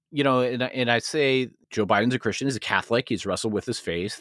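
A man's normal speaking voice at a fairly quick pace, ordinary pitch variation, dry and close with no echo, on a very clean recording with a silent background. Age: 30s. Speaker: marketing executive and former pastor. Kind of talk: casual interview.

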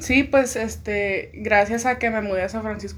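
A woman's moderately paced speech carries audible room echo. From Tijuana, Mexico. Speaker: music composition student. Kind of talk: casual chat.

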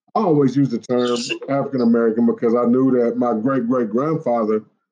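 A man's medium-pitched voice with a Southern US accent, dark, mellow tone, fairly even intonation and a fairly quick pace. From US South, Tennessee (Smyrna, near Nashville). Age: 40s. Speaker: podcast host. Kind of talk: casual chat. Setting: phone call.

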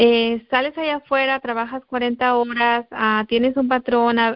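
A woman uses a normal speaking voice at a fairly slow pace, her pitch fairly high. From Guerrero, Mexico. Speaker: network marketing distributor. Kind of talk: testimony. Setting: conference call.

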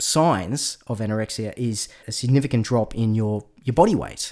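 A very clean recording with a silent background, delivered at a moderate pace. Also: man. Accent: Australian. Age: 30s. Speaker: podcast host. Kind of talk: interview podcast; scripted narration.

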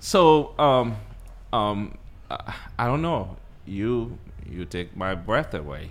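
A man at a medium pitch with very wide pitch swings, a very slow pace, long, frequent pauses and audible room echo. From Haiti. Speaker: podcast host, nurse and nursing school owner. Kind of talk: casual interview.

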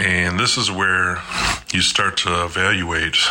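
Noticeable background noise sits behind this man. His pitch is very deep and low, and his intonation is monotone and flat. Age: 40s. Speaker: motivational podcaster. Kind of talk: motivational monologue.

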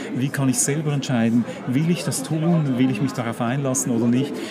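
Amid crowd noise and audible room echo, a man speaks at a medium pitch. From Switzerland. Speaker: magazine publisher. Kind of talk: casual chat. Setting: book fair.

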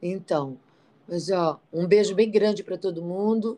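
This dark, mellow voice carries a northeastern Brazilian accent. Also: woman. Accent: put-on northeastern Brazilian. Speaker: podcast co-host. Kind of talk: casual chat. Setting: traveling, on location.

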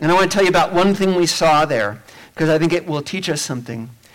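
A man is speaking in a high voice. Noticeable background noise can be heard behind him. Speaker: pastor. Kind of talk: prayer. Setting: church.

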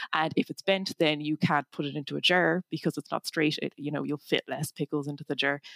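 Speaking in a Cork accent with vocal fry, the voice moves at a fairly quick pace with hardly any pauses, its sound dry and close with no echo. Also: woman, very deep, low pitch for a woman. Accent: Cork Irish. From Ireland, north Cork. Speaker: tech startup founder and engineer. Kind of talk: interview.

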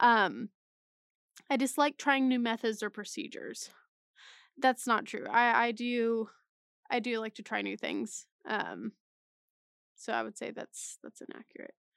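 With a dry, close sound and no echo, the speaker takes an animated tone, broken by long, frequent pauses. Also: woman, fairly high pitch for a woman. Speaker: podcast host. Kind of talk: solo casual chat, taking an online quiz. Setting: studio podcast recording, intro added later. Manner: chatty, animated, jokey with filler words.

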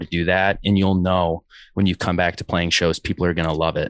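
In a dry, close recording with no echo and a quiet background, a man with an American accent speaks very fast in a very deep, low voice. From US Midwest, Chicago. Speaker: hardcore band musician. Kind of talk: casual interview chat.

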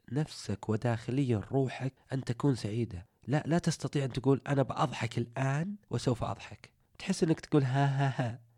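On a very clean recording with a silent background and a dry, close sound with no echo, a man speaks at a moderate pace with hardly any pauses, his medium-pitched voice dark, mellow and somewhat breathy, with ordinary pitch variation. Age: 30s. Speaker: motivational podcaster. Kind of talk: motivational monologue.

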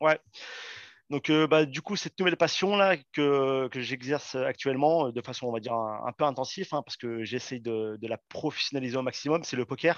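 This man has an unremarkable speaking voice. His pace is moderate. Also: medium pitch for a man, ordinary pitch variation. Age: 30s. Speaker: soldier and poker player. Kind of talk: casual interview.

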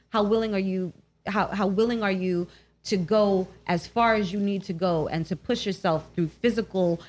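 A woman in a New York accent, with ordinary pitch variation at a moderate pace. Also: quiet background. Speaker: radio host. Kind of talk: casual chat. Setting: studio.

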